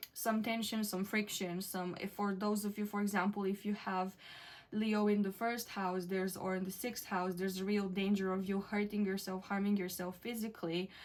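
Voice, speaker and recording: In a non-native accent, a woman talks at a moderate pace with medium pitch and monotone, flat intonation. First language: not English. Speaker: tarot reader. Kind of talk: tarot reading to camera. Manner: hesitant, many fillers.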